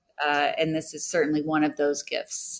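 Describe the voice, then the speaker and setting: This woman has a very deep, low voice and an American accent. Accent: Texan, comes out around other Texans. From Texas, Houston. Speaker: TV host and recovery expert, author. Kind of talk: interview, personal recovery story. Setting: recorded podcast interview.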